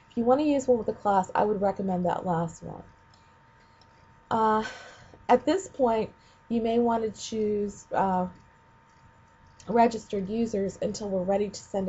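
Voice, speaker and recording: A woman at a medium pitch sounds somewhat breathy, speaking at a moderate pace with ordinary pitch variation and long, frequent pauses. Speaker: ed tech trainer for teachers. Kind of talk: screencast tutorial. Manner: casual with many fillers.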